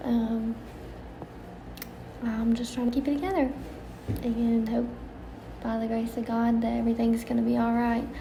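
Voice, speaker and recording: With long, frequent pauses at a moderate pace, a woman speaks in a fairly high pitch and fairly even intonation, with audible room echo and noticeable background noise. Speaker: vlogger. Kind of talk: video diary. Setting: at work. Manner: quiet.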